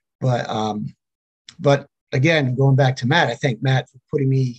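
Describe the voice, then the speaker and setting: A somewhat breathy man's voice at medium pitch and a moderate pace, in a dry, close sound with no echo. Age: 60s. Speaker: actor and retired school teacher. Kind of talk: casual interview. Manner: relaxed, many fillers.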